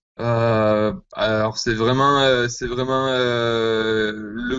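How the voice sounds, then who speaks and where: Medium-pitched male speech. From southwest France. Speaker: rock band musician. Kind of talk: interview.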